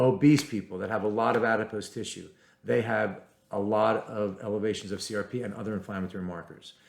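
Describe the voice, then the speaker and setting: Very fast and fairly low in pitch, a man's voice carries vocal fry. His intonation stays fairly even. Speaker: physician. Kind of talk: educational talk to camera. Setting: recording to camera.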